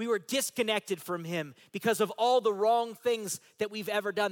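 A man speaks at a moderate pace with a high pitch and lively intonation. The recording is very clean and silent behind him, with a dry, close sound and no echo. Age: 40s. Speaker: pastor. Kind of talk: sermon. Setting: church. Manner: animated.

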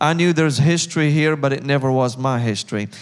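A man with a Syrian accent speaks at a medium pitch and a fairly quick pace, with fairly even intonation. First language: Arabic. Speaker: missions leader. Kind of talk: church interview.

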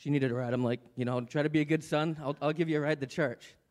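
In a very clean recording with a silent background, a man with a normal speaking voice talks at a fairly high pitch with fairly even intonation. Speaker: church member speaking before offering. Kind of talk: testimony. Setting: church.

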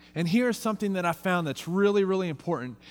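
Music runs in the background. A man speaks with an American accent. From Texas. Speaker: youth pastor. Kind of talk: farewell sermon. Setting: church with congregation.

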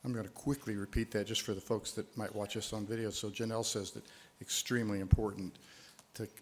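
Talking at a fairly quick pace, a man uses a fairly low pitch and a monotone, flat intonation. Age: 70s. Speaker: event moderator. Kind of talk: moderating Q&A. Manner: halting, filler words.

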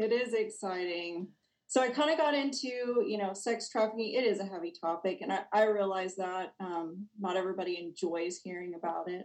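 Using an ordinary speaking voice, a woman with an American accent talks at a moderate pace in a medium pitch with ordinary pitch variation. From Texas, Lubbock. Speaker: counseling professor. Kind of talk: interview.

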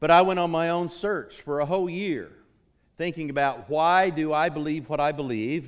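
A man with an American accent talks at a moderate pace, his pitch fairly high with ordinary variation. Room echo can be heard. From Oklahoma, US. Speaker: guest preacher. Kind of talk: sermon.

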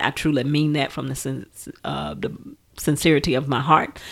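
Speaking at a fairly slow pace with an American accent, a woman uses a very deep, low pitch, vocal fry and fairly even intonation over a very clean recording with a silent background. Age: 50s. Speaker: minister. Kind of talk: casual chat. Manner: halting.

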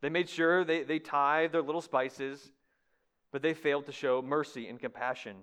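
A man uses a normal speaking voice and moves along at a fairly quick pace. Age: 30s. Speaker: guest preacher. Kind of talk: sermon. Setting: church.

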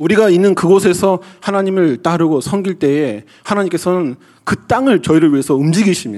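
High-pitched man at a fairly quick pace, with lively intonation and hardly any pauses. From South Korea. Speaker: pastor. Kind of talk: sermon.

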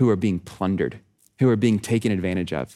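In a very clean recording with a silent background, a man speaks in a dark, mellow tone with ordinary pitch variation. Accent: American. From Texas. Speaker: nonprofit director, former pastor. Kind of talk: sermon.

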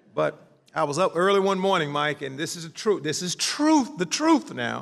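A man with an American accent, noticeable background noise behind him. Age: 50s. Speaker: pastor. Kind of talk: sermon.

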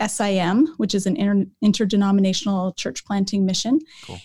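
A woman with a General American accent, dark, mellow and somewhat breathy, at a moderate pace on a very clean recording with a silent background. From Colorado, US. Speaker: Old Testament professor and author. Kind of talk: casual interview conversation.

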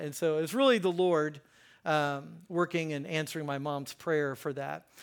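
A man with an American accent speaks at a moderate pace in an unremarkable speaking voice, fairly high in pitch with ordinary pitch variation. The recording is very clean, with a silent background. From US Mid-Atlantic (Hagerstown, Maryland). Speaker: pastor and counselor. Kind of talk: sermon. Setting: church with congregation. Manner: casual, conversational with fillers.

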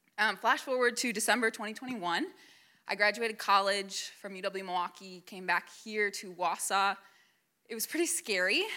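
A woman with an American accent, a bright, sharp tone and medium pitch with ordinary variation, at a moderate pace with big swings in loudness, in a very clean recording over a silent background. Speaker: young adult ministry member. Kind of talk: testimony. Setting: church hall with audience. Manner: halting.

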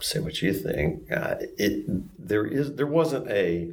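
A man with a Southern US accent at a fairly slow pace, with audible room echo. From upstate South Carolina, Greenville-Spartanburg. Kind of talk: personal testimony interview.

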